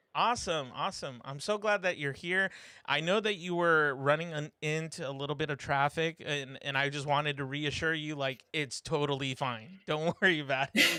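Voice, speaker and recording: The speaker has a slight Californian accent and a bright, sharp tone, with ordinary pitch variation. Talking at a moderate pace with hardly any pauses, they come through a very clean recording with a silent background. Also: man, fairly high pitch for a man. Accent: slight California. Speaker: live stream host. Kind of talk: casual chat. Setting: live stream. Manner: hesitant, many fillers.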